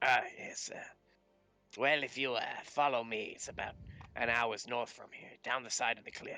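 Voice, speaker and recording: A raspy, put-on character voice from a man at medium pitch, broken by long, frequent pauses. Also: moderate pace. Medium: actual play. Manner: hesitant, polite, full of "uh".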